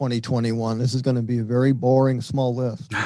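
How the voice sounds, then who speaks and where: At a moderate pace, a man speaks with a medium pitch and a dark, mellow tone. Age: 70s. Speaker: radio show host. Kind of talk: interview.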